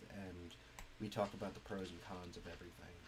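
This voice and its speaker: A man with a somewhat breathy voice speaks at a moderate pace. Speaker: streamer and indie game developer. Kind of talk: casual gaming stream chat. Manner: hesitant, many fillers.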